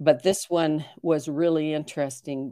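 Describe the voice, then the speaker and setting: A woman's very deep, low voice with a dark, mellow tone and fairly even intonation, on a very clean recording with a silent background. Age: 70s. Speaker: retired purpose coach. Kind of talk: interview. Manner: hesitant fillers.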